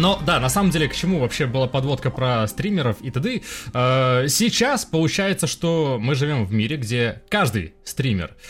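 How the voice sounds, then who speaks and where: With music in the background, a man speaks at a moderate pace in a medium-pitched voice with lively intonation. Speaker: podcast host. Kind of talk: casual chat. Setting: video call.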